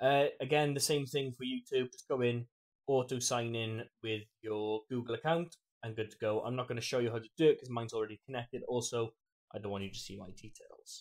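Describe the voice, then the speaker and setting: With an American accent, a man talks at a fairly quick pace with fairly even intonation. His loudness swings widely against a quiet background. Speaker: streamer and tutorial creator. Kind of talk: tutorial. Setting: screen recording with voiceover. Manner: casual, friendly, chatty.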